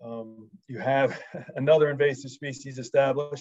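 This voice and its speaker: A man speaks in a monotone, flat intonation with an American accent against a quiet background. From United States. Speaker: wildlife management expert. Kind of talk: presentation. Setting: video call. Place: home room. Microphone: video call.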